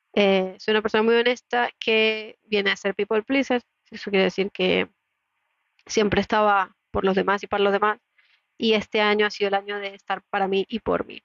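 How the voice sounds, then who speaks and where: Monotone and flat, a woman's medium-pitched voice carries through. She keeps a moderate pace. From Latin America. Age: 30s. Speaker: podcaster and entrepreneur. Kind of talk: solo podcast monologue.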